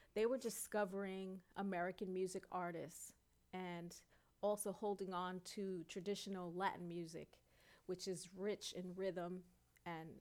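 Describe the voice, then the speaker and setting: A woman with a New York accent, fairly slow pace and monotone, flat intonation. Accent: New York City. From New York City, Queens and Brooklyn. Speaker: singer, dancer and author. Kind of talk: interview.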